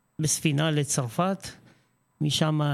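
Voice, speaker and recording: Fairly even in intonation, a man's speech moves at a very slow pace. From Israel. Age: 50s. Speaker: school administrator. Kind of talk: interview.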